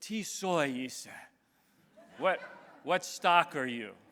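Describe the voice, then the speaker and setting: A man puts on a gruff character voice, pitched high. He talks very slowly with lively intonation. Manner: demanding.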